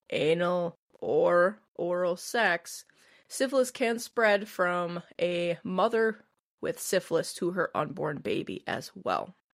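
A woman with a Midwestern American accent, very slow, with ordinary pitch variation, on a very clean recording with a silent background. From US Midwest. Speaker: podcast co-host. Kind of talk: casual chat.

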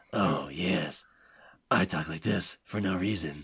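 A man's put-on character voice, raspy and gravelly, very deep and low in pitch, at a fairly slow pace. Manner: mocking, sarcastic.

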